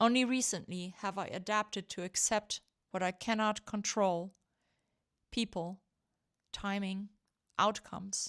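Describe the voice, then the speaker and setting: A woman in a medium pitch at a fairly slow pace, with long, frequent pauses and fairly even intonation, in a very clean recording with a silent background and a dry, close sound with no echo. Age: 50s. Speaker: vlogger. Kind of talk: reflective personal documentary narration. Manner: quiet, reflective.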